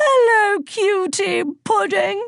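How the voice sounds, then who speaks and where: Squeaky, put-on character voice with lively intonation. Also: woman. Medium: read story. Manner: falsely sweet, condescending.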